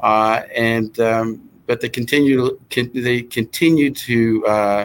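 A man with an American accent, an unremarkable speaking voice, medium pitch and fairly even intonation. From New Jersey. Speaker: hotel association executive. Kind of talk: interview.

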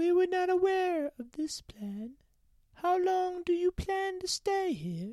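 Squeaky, put-on character voice from a woman, pitched extremely high. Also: fairly slow pace. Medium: audio drama. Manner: stern, formal.

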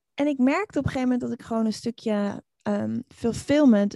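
A dark, mellow tone at a fairly quick pace, dry and close with no echo, in a very clean recording with a silent background. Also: woman. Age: 40s. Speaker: online community expert and author. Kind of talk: interview.

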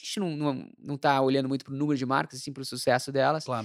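A man at medium pitch with fairly even intonation, in a dry, close sound with no echo and a very clean recording with a silent background. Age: 40s. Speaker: marketing executive and entrepreneur. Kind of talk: casual interview.

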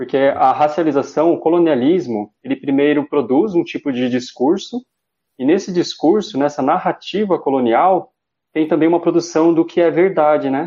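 This is a normal speaking voice at a moderate pace. Its pitch varies in an ordinary way. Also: man. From Brazil, São Paulo East Zone. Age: 30s. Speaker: philosophy student and researcher. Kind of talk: interview.

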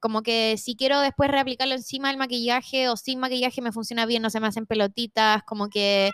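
Barely pausing, a woman with a Chilean accent races along at a very fast pace in a high pitch, the sound dry and close with no echo. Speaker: facial yoga instructor and influencer. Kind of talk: casual chat.

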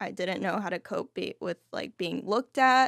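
On a very clean recording with a silent background, a woman with an American accent uses vocal fry and ordinary pitch variation, the sound dry and close with no echo. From Texas, Fort Worth and Dallas. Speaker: person in long-term recovery. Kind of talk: interview testimony.

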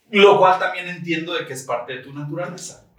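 Here a man talks at a moderate pace. His intonation is fairly even. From Tijuana, Mexico. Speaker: podcast guest. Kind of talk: casual chat.

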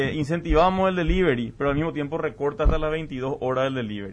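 A man talks in an ordinary speaking voice. His pitch is fairly high, with ordinary pitch variation. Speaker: business advocate. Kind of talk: debate.

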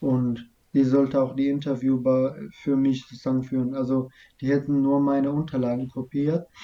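This man's dark, mellow tone holds a monotone, flat intonation as he talks at a moderate pace. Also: medium pitch for a man. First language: not German (speaking German). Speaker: refugee telling his story. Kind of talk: interview about personal story.

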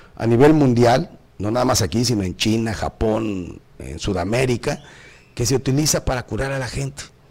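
A man is speaking. His pace is moderate. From northern Mexico, Tamaulipas. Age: 50s. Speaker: radio host. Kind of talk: casual talk show hosting.

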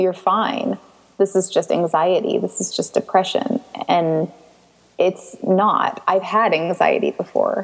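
A woman with an American accent at a very slow pace, against noticeable background noise. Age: 20s. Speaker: patient sharing illness story. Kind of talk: interview.

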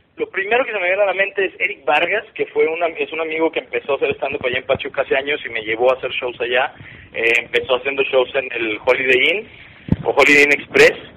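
Noticeable background noise sits beneath a man rattling off words at a very fast pace. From Monterrey, northern Mexico. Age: 30s. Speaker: stand-up comedian. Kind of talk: casual chat.

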